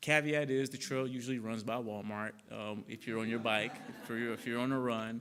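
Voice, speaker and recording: Here a man speaks with a slight Southern US accent at a medium pitch. His intonation is monotone and flat, his pace moderate. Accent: slight Southern twang. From Arkansas (Conway). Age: 30s. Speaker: public health director. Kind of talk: public talk with Q&A. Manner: many fillers and restarts.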